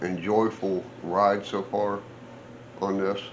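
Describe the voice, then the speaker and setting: Speaking very slowly, a man with fairly low pitch is heard with audible room echo. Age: 60s. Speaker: off-road vehicle builder and vlogger. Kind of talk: casual vlog talk. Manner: rambling, conversational with fillers.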